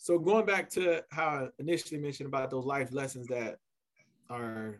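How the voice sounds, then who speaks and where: This man has an unremarkable speaking voice with an American accent, talking at a fairly quick pace in a medium pitch with ordinary pitch variation. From US South, Columbia, South Carolina. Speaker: college athletics administrator. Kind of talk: casual interview.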